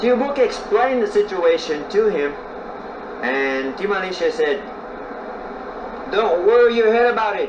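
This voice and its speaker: Over noticeable background noise, a man with a high pitch and lively intonation speaks at a moderate pace, broken by long, frequent pauses. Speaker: storyteller. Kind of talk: folk tale storytelling. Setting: outdoors.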